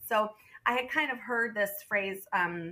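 The accent is American. This woman's voice shows ordinary pitch variation. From US Northeast (southern Vermont). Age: 30s. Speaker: nonprofit worker and mother. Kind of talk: casual interview.

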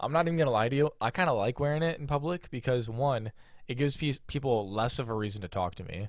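A man with an American accent speaks at medium pitch. He goes at a very fast pace on a very clean recording with a silent background. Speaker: podcast co-host. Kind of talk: casual chat.

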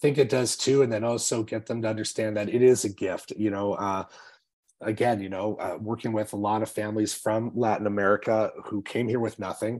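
In a very clean recording with a silent background, a man with a fairly low voice talks at a fairly quick pace in a monotone, flat intonation. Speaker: school principal and podcast host. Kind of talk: podcast interview.

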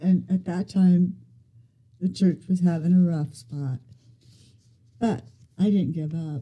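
She talks at a fairly slow pace with an American accent. Her tone is dark and mellow. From US Midwest, Ohio. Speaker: grandmother sharing faith story. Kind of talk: testimony.

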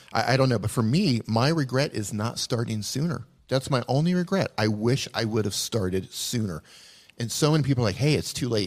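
In a very clean recording with a silent background, a man with a plain, everyday voice talks at a medium pitch and a fairly quick pace with lively intonation. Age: 40s. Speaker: YouTube video educator. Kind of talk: casual chat. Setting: live stream.

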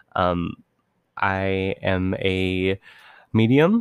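On a very clean recording with a silent background and a dry, close sound with no echo, a man talks in an unremarkable speaking voice, fairly low-pitched with ordinary pitch variation. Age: 20s. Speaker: podcast host. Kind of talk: casual monologue. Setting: home recording.

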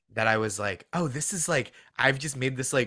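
An American-accented man talks at medium pitch with a bright, sharp tone. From suburbs of Boston. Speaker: comedian and writer. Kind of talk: casual chat. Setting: video call.

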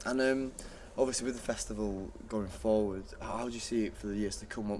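At a fairly quick pace, a man with a Mancunian accent talks amid audible room echo. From Manchester, England. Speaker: podcast host. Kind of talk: casual chat.

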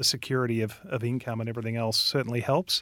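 A man with an Australian accent and fairly even intonation, recorded very clean and dry, close with no echo, over a silent background. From Australia, Victoria. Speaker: real estate company director. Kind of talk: casual chat. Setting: studio.

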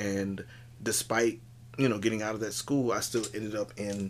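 A man with a normal speaking voice and fairly low pitch talks at a moderate pace. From Miami, Florida (Richmond Heights). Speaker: improv comedian. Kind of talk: casual interview chat.

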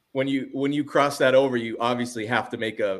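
A man speaks at a fairly quick pace and a medium pitch, in an ordinary speaking voice. His intonation stays fairly even. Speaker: sports card channel host. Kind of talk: casual interview chat. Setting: video call. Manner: friendly, warm.

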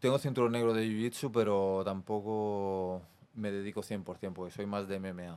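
Using an ordinary speaking voice, a man talks at a fairly slow pace with a fairly low pitch and fairly even intonation. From Barcelona, Spain (Besòs). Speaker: professional MMA fighter. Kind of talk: casual interview. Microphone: far from the mic.

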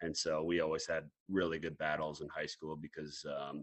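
With an American accent, a man speaks at a moderate pace in a very deep, low pitch and a bright, sharp tone. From Iowa, Mason City. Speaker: college basketball coach. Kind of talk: casual interview.

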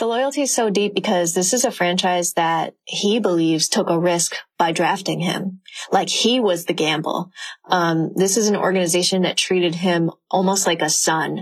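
A plain, everyday voice from a woman, medium in pitch, with ordinary pitch variation and very even loudness. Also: moderate pace. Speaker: author. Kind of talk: casual chat.

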